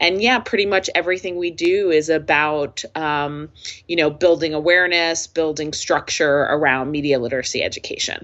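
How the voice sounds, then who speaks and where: Using a normal speaking voice with an American accent, a woman talks at a fairly low pitch. Her pace is moderate and her pitch varies in an ordinary way. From US, northern New Jersey. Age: 50s. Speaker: nonprofit executive director. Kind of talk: interview.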